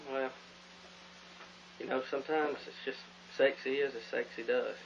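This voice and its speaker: Loudness rises and falls sharply as a man speaks at a moderate pace. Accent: Southern US. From Alabama. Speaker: radio host. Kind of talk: comedy sketch; casual chat.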